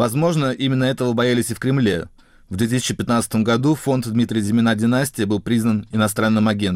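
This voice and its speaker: A man talks at a moderate pace in a medium pitch, with fairly even intonation. It is an unremarkable speaking voice. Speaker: science journalist. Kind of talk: scripted narration.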